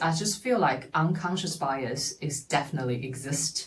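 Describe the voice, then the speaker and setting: With a Chinese accent, a woman speaks in a very deep, low pitch that is somewhat breathy. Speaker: podcast host. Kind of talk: personal monologue. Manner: halting.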